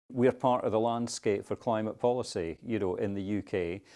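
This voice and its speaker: A man with a Scottish accent speaks at a fairly low pitch and a moderate pace. His tone is dark and mellow, and the recording is very clean with a silent background. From Scotland. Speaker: climate policy adviser. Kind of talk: interview. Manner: conversational, with fillers.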